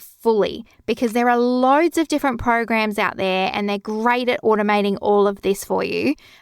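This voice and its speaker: A woman with an Australian accent speaks at a moderate pace in a fairly high pitch, with a calm tone and ordinary pitch variation. The recording is very clean with a silent background and a dry, close sound with no echo. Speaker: bookkeeping podcast host. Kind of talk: podcast tutorial.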